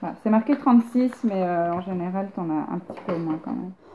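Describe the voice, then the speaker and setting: A woman talks with lively intonation while noticeable background noise runs underneath. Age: 30s. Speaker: photographer. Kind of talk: casual conversation.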